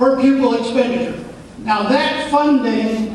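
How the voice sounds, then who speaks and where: A man speaks very slowly at an extremely high pitch with fairly even intonation. Room echo is audible, and background noise is noticeable. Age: 60s. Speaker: state legislator. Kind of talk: town hall presentation. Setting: school hall meeting with audience.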